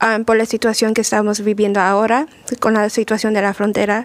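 A woman speaks with a fairly high pitch. Her pace is moderate and her intonation fairly even. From Mexico (Puebla). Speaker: immigration lawyer. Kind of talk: radio talk show. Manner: halting.

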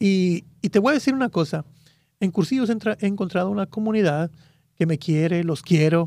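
On a very clean recording with a silent background, a man with a dark, mellow tone talks at a fairly quick pace with ordinary pitch variation. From Guatemala. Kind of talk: religious radio interview. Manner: halting.

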